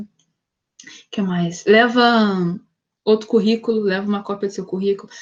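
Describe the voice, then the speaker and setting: Somewhat breathy, a woman talks in a fairly high voice with fairly even intonation. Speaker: psychologist, career talk guest. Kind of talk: online talk with Q&A. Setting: video call. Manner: casual, conversational.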